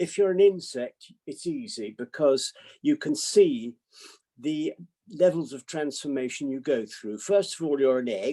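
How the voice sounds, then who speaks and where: A man with a British accent, a fairly high pitch, a dark, mellow tone and lively intonation, at a moderate pace, in a dry, close recording with no echo. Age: 80s. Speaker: psychiatrist. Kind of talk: talk to online audience.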